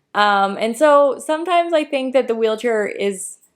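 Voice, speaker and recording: In a Canadian accent, a woman with an unremarkable speaking voice talks at a moderate pace with lively intonation, on a very clean recording with a silent background. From Canada. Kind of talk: casual chat.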